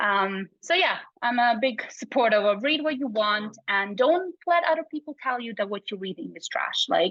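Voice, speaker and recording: A woman speaks with a Bosnian accent at a moderate pace. Her fairly high pitch makes very wide swings. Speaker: psychology researcher. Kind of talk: casual chat.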